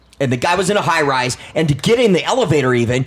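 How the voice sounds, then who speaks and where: A man with a fairly high pitch talks in an animated tone with lively intonation over noticeable background noise. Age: 30s. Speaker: actor and model. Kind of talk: casual chat.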